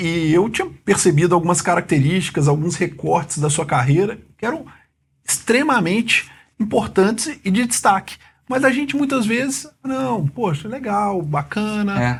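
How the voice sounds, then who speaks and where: Very wide pitch swings at a moderate pace. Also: man, high pitch for a man. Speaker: immigration lawyer / podcast host. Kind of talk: podcast interview, host talk.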